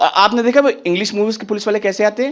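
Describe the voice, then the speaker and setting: A man speaks at a high pitch and a moderate pace. His pitch variation is ordinary, and background noise is noticeable. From Uttar Pradesh, India. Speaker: stand-up comedian. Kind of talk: live stand-up comedy set.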